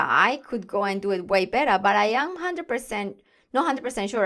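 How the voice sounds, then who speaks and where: The speaker talks at a very fast pace with a non-native accent. The tone is enthusiastic. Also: woman. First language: not English. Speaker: podcast host, confidence and communication coach. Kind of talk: solo podcast monologue.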